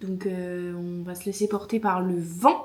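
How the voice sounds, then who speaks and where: The woman's voice sounds somewhat breathy. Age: 20s. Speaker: vlogger. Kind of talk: casual vlog talk to camera. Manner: casual, hesitant with many fillers.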